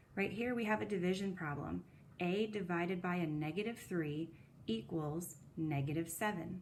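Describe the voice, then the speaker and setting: Her fairly low voice keeps a very even loudness and ordinary pitch variation, as this woman speaks with audible room echo. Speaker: middle school math teacher. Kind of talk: recorded lesson. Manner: fast.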